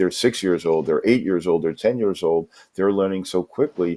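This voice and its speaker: With a New York accent, a man talks in a very deep, low pitch and a dark, mellow tone, his intonation lively, on a very clean recording with a silent background. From New York City. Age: 50s. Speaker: English teacher. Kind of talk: interview.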